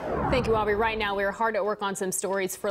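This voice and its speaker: The delivery is fairly quick and flat, in a monotone. Background noise is noticeable. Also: woman. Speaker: television news anchor. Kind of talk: TV news anchor delivery.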